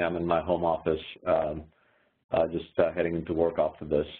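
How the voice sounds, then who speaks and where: This man speaks with an Indian accent. His pace is moderate. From India (Himachal roots). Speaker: venture capitalist. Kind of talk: interview answer. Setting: home office, video call.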